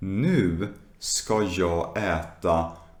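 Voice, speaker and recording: A man's fairly low voice with ordinary pitch variation and audible room echo. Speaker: Swedish language teacher. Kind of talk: slow language lesson talk. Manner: slow.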